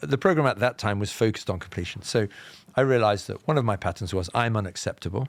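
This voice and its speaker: With a southern English accent, the speaker moves at a fairly quick pace with lively intonation over a very clean recording and silent background. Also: man. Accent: BBC-style southern English RP. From England, Leicester. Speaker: author and meditation teacher. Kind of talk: podcast interview.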